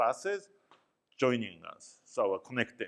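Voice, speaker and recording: A man with a Japanese accent talks at a fairly slow pace. His pitch is medium, and the background is quiet. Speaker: professor. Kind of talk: lecture. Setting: classroom.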